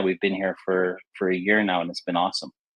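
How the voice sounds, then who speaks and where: This is a man's voice. He speaks at a fairly quick pace. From Canada. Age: 50s. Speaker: former ice hockey player and sports broadcaster. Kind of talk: podcast interview. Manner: hesitant, repeats words.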